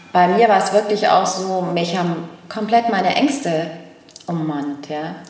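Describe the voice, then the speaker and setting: Medium-pitched speech from a woman, with audible room echo and noticeable background noise. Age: 50s. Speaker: podcast co-host and book author. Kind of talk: casual chat.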